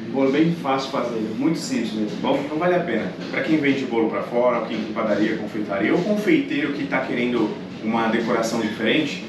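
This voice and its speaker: The speaker talks at a fairly quick pace amid noticeable background noise and audible room echo. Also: man. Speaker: channel host. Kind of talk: casual cooking show chat. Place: kitchen. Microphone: camera far.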